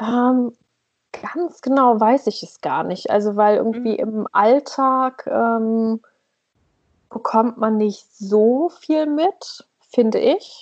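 A very slow pace with ordinary pitch variation. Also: woman, fairly high pitch for a woman. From northern Germany, East Frisia. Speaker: blogger, emigrant to Norway. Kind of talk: casual chat.

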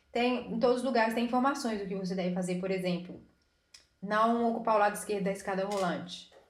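Very fast speech from a woman with fairly even intonation and audible room echo. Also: medium pitch for a woman. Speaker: podcast co-host. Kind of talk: casual chat.

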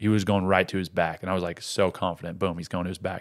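On a very clean recording with a silent background, a man with an American accent speaks at a fairly quick pace in a very deep, low voice. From Colorado, US. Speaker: wrestler and UFC fighter. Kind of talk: sports commentary, narrating a wrestling match replay. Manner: play-by-play, animated, narrating the moves as they happen.

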